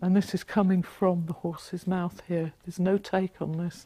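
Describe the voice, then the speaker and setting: A woman's somewhat breathy, dark, mellow voice in a flat monotone at a moderate pace, dry with no echo and a quiet background. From London. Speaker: author and local historian. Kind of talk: mythic history narration, solemn storytelling of ancient tribes and the massacre. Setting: talk to a live audience. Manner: earnest, reverent, measured; passionate, rousing. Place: classroom.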